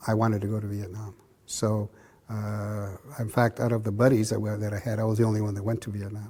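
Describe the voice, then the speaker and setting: Delivered at a very fast pace, the voice is somewhat breathy with a dark, mellow tone. The intonation is monotone and flat, with an American accent. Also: man, fairly low pitch for a man. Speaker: boxing club founder, Vietnam-era veteran. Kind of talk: oral history interview answer. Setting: interview at boxing club.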